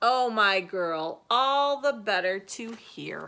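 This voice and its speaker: In a put-on character voice, a woman speaks very slowly at a fairly high pitch. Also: very clean recording, silent background. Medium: read story. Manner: sly.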